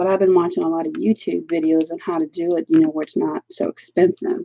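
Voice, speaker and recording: Speaking at a very fast pace, a woman talks with an American accent. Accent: Southern US accent, strength disputed. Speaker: adult coloring book and art supply reviewer. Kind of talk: casual craft-along chat. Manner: chatty, informal.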